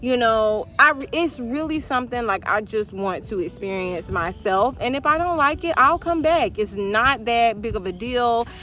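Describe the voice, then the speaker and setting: A woman's fairly high, bright, sharp voice with lively intonation, at a moderate pace and with hardly any pauses. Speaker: vlogger. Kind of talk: casual chat. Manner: casual, filler-heavy.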